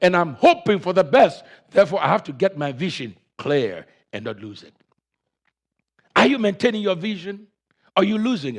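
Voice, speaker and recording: At a moderate pace, a man talks with a high pitch and very wide pitch swings. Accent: African. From Africa. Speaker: pastor. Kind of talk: sermon.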